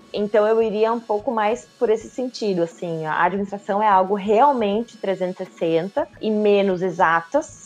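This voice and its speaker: A woman's normal speaking voice with very even loudness, ordinary pitch variation and hardly any pauses. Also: medium pitch for a woman, fairly slow pace. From southern Brazil, Joinville (Santa Catarina). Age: 30s. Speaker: marketing professional. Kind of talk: casual interview.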